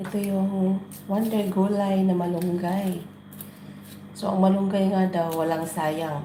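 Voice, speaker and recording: Amid noticeable background noise and audible room echo, a woman talks at a very slow pace in a monotone, flat intonation. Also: medium pitch for a woman. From Philippines, Negros. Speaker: vlogger. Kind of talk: casual cooking vlog. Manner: casual, chatty.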